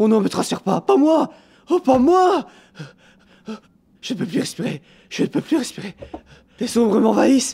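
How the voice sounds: A put-on character voice is heard here. It keeps a moderate pace.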